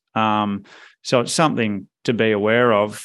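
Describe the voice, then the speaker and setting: A man with an Australian accent talks at a medium pitch and moderate pace. His intonation is fairly even, and the background is quiet. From Perth, Western Australia. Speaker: fund manager. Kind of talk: interview.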